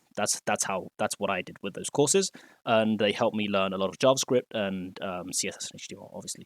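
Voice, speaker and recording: A man with a fairly low pitch speaks at a very fast pace, with hardly any pauses and big swings in loudness. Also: dry, close sound with no echo, very clean recording, silent background. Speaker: web developer and coding tutor. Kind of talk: tutorial. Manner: hesitant, many fillers.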